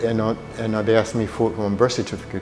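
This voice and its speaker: With music in the background, a man speaks at a very fast pace and a medium pitch. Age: 70s. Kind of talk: interview answer.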